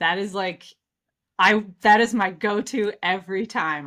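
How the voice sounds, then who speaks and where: Bright, sharp female voice with a Midwestern American accent. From US Midwest. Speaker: customer experience expert. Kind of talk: casual interview. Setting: home office, video call.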